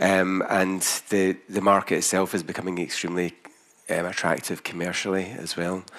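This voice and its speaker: A man with a strong Scottish accent speaks at a moderate pace in a very deep, low pitch. His intonation is monotone and flat, with noticeable background noise behind him. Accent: Scottish, thick. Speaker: company founder presenting to investors. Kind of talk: investor presentation. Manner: hesitant, many fillers.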